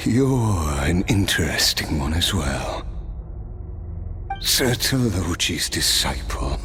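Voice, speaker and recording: Over loud background noise, a man puts on a cartoonish character voice with a very deep, low pitch, speaking at a very slow pace. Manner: measured, wry, given to soft laughs.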